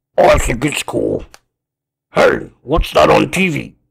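Someone uses a raspy, put-on character voice at a fairly slow pace. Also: man. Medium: cartoon. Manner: casual, easily impressed, laid-back dude.

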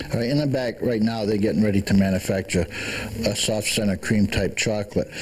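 A man with an ordinary speaking voice, fairly low pitch and a fairly quick pace, over light background noise. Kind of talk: interview answer. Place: shop. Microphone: handheld.

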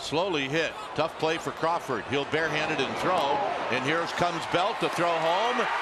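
Fairly high male voice at very even loudness, with noticeable background noise. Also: ordinary pitch variation. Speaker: baseball broadcaster. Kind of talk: rapid-fire live play-by-play of a baseball hit. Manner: excitable, escalating energy as the run scores.

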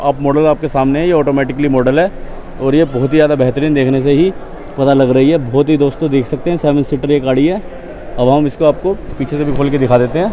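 With fairly even intonation, a man talks over light background noise in a dry sound with no echo. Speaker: car vlogger. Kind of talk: casual vlog commentary. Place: shop. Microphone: phone near.

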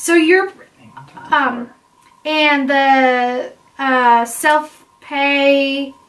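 Very slow speech from a woman with a high voice and ordinary pitch variation. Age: 20s. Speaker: vlogger answering viewer questions about IVF. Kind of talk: casual Q&A chat. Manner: conversational, with frequent fillers. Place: home room. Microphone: camera far.

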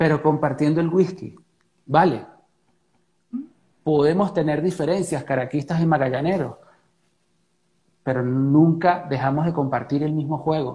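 A man's fairly high, somewhat breathy voice with a dark, mellow tone and a Venezuelan accent, fairly slow and fairly even, with long, frequent pauses. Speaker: interview guest. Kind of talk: interview answer. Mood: earnest, reflective. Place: home room.

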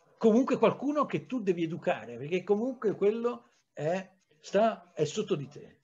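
Loudness swings widely as the speaker moves at a moderate pace with lively intonation. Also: man, high pitch for a man. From Tuscany, Livorno; Tuscany. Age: 60s. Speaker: historian; historian lecturer. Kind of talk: lecture. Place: home room. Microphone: webcam.

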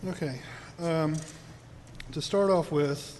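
The voice belongs to a man. Room echo can be heard. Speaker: city council member. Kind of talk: council meeting statement. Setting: city council chamber. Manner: formal.

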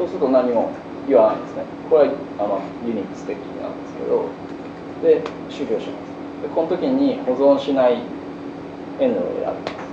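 The speech moves at a fairly quick pace, broken by long, frequent pauses. Noticeable background noise runs underneath. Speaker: bioinformatics researcher. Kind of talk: lecture. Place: classroom.

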